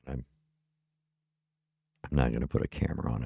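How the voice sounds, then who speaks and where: With vocal fry and a dark, mellow tone, a man talks very fast in a very deep, low pitch and fairly even intonation. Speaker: podcast host. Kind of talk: casual solo podcast talk. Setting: home studio with webcam. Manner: rambling, many fillers and restarts.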